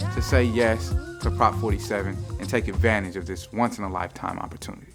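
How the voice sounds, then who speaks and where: Over music in the background, a man speaks in an upbeat tone at a fairly quick pace. His pitch is very deep and low. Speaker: spoken word artist, host. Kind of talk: mock infomercial host talk to camera. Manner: upbeat, persuasive.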